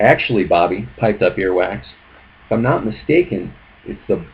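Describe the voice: This is plain reading aloud. Pitch varies in an ordinary way.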